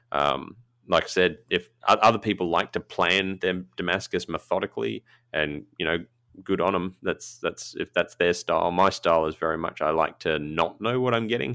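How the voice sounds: A man speaks at a low pitch and a moderate pace, with ordinary pitch variation. His tone is bright and sharp, with vocal fry.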